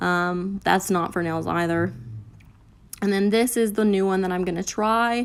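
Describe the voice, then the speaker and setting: This woman has an unremarkable speaking voice at medium pitch. She speaks at a fairly slow pace. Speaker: beauty vlogger. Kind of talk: tutorial voiceover.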